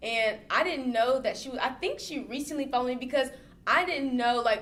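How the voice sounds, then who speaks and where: A woman's high-pitched voice at a fairly quick pace, over noticeable background noise. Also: ordinary pitch variation. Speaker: fashion designer and stylist. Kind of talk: casual interview chat.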